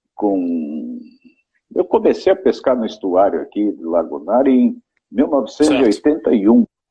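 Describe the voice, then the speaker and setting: A man is talking. His pace is fairly slow. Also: long, frequent pauses. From Brazil, interior of São Paulo state. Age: 60s. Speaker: fishing guide. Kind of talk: interview, casual chat. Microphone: radio internet connection, may have problems.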